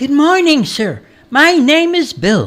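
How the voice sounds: A man speaks slowly in a put-on character voice with an extremely high pitch. His tone is fairly bright, and his pitch swings very widely.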